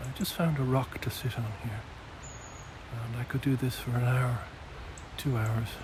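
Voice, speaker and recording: Quiet and dry with no echo, a man at a medium pitch speaks at a fairly slow pace with fairly even intonation over noticeable background noise. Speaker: nature observation vlogger. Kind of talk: outdoor walking vlog narration. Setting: outdoors in woodland nature reserve. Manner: hesitant, many fillers; speaking quietly. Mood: calm, reflective, appreciative. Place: forest. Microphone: phone near.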